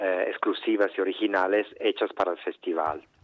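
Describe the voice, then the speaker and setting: Here a man speaks with a fairly low pitch. He keeps a moderate pace. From Argentina, Mendoza. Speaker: dancer and choreographer. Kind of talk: interview. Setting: phone call.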